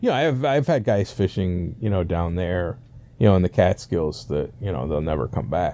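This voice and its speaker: Very deep and low, a man's dark, mellow voice carries lively intonation at a moderate pace. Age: 50s. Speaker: fly fishing guide. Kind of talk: casual interview chat.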